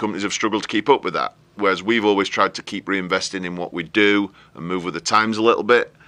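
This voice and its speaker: A bright, sharp tone with fairly even intonation. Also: man. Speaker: property management company owner. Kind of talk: interview.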